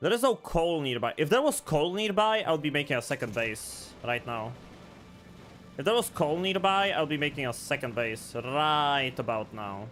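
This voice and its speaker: Over music in the background, a man with a non-native accent talks at a moderate pace and a fairly high pitch, with very wide pitch swings. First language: not English. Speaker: vtuber streamer. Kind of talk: live gameplay stream. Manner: animated.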